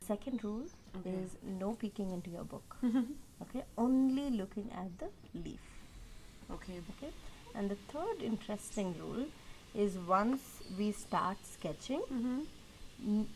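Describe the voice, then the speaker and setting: A woman with a fairly high pitch talks at a fairly slow pace, her intonation lively and broken by long, frequent pauses. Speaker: nature illustrator. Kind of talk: guided drawing instruction.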